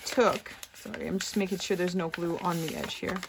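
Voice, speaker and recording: A woman speaks over noticeable background noise. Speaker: craft youtuber. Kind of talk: tutorial.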